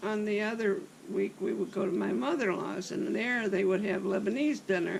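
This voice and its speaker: A woman with very wide pitch swings, amid noticeable background noise. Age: 80s+. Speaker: interviewee. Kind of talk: life story interview. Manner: hesitant fillers.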